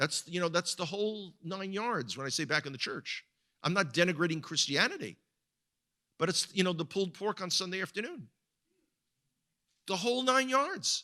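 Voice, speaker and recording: A man with an American accent speaks in a raised, projected voice that is high-pitched, with a bright, sharp tone. His pace is moderate and his intonation lively, with long, frequent pauses. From US, New York (the Bronx). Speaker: guest speaker and tour guide. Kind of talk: sermon-style talk to a congregation. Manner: halting, with frequent word repetitions.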